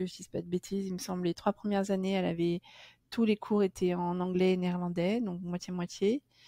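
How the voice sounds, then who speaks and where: In a very clean recording with a silent background and a dry, close sound with no echo, a woman with a dark, mellow, medium-pitched voice speaks at a fairly quick pace in a monotone, flat intonation. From France, raised partly in Amsterdam. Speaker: postpartum home care nurse. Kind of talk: podcast interview.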